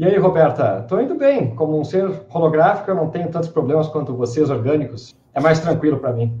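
A man with a southern Brazilian accent, fairly high-pitched, at a fairly quick pace with ordinary pitch variation and audible room echo. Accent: gaúcho Brazilian Portuguese. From southern Brazil, Porto Alegre. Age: young. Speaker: podcast co-host. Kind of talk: casual chat. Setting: video call.

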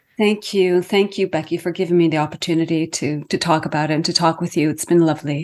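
A woman at a very fast pace, fairly low in pitch, with hardly any pauses and monotone, flat intonation. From Iceland, raised partly in Canada. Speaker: author. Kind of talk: interview conversation.

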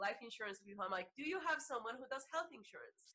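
With a Salvadoran accent, a woman speaks in a bright, sharp tone and ordinary pitch variation. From El Salvador. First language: Spanish. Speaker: yoga teacher and Reiki practitioner. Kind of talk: interview.

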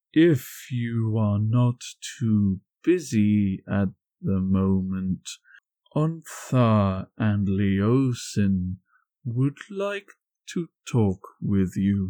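On a very clean recording with a silent background and a dry, close sound free of echo, a man uses a fairly low put-on character voice at a very slow pace. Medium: actual play. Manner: formal, polite.

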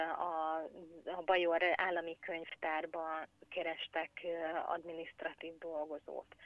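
Speech at a very slow pace, flat and monotone in intonation, comes with long, frequent pauses. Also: woman, fairly low pitch for a woman. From Hungary. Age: 40s. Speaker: emigrant mother. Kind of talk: interview. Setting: phone call. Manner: halting, many repetitions.

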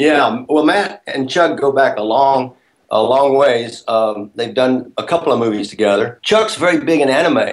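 A plain, everyday voice from a man, moderate in pace and fairly high, its intonation lively. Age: 60s. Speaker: actor and first-time film director. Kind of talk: interview.

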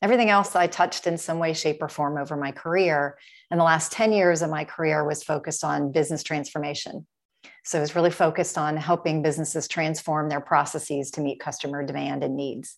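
A woman with an American accent and a very deep, low pitch talks at a very fast pace with fairly even intonation, in a very clean recording with a silent background. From US Midwest, Dayton, Ohio. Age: 50s. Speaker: health and wellness business owner. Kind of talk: interview.

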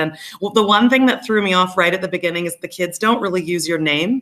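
On a very clean recording with a silent background, a woman speaks at a medium pitch with ordinary pitch variation and a bright, sharp tone. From Canada. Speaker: teacher. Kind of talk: casual chat.

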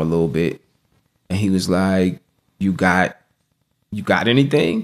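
A man with an American accent and a fairly low pitch speaks at a moderate pace in a normal speaking voice, captured in a very clean recording with a silent background. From US, Norfolk, Virginia. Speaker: spoken word poet. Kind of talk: interview.

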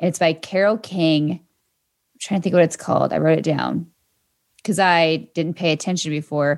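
A woman with vocal fry talks at a moderate pace, with long, frequent pauses, fairly even intonation and very even loudness, on a very clean recording with a silent background. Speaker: radio show producer and podcast announcer. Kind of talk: casual chat.

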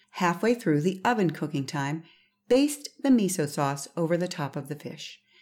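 On a very clean recording with a silent background, a woman speaks at a moderate pace in a fairly low pitch with very wide pitch swings. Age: 50s. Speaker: seafood podcast host. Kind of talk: recipe instructions; solo podcast monologue. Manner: casual, chatty.

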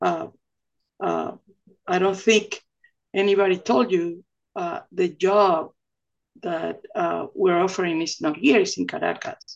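A woman with a Venezuelan accent, at a fairly slow pace, with long, frequent pauses. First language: Spanish. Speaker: oil company executive. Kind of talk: casual interview.

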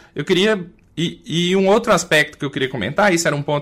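A man with a Minas Gerais accent at a fairly quick pace, with ordinary pitch variation, on a very clean recording with a silent background. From Minas Gerais, Brazil. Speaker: family doctor and podcast co-host. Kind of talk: panel discussion.

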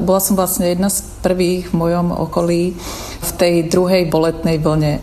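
A woman speaks with a Slovak accent at a moderate pace, fairly low in pitch and monotone with flat intonation. Audible room echo and noticeable background noise surround her voice. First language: Slovak (speaking Czech). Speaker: designer. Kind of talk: personal testimony.

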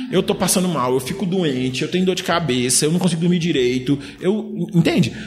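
With music in the background, the speaker moves at a fairly quick pace with ordinary pitch variation. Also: man, high pitch for a man. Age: 30s. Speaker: guest commentator on psychology and society. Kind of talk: casual podcast interview. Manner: halting, with repeated filler words.

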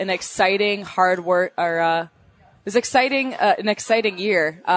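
A woman with a Minnesotan accent speaks at a medium pitch with ordinary pitch variation. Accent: Minnesota. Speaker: young sportscaster. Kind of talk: interview.

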